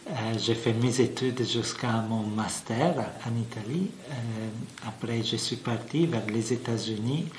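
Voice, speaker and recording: A man speaks very slowly at a medium pitch with ordinary pitch variation. Audible room echo and noticeable background noise fill the recording. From Italy. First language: Italian (speaking French). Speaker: physics professor. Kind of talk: interview explanation. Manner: halting, many fillers.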